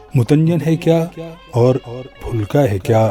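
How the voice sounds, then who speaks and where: A man's pitch moves in an ordinary way. Behind him, music plays. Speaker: radio and TV presenter, poet. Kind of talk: poetry reading.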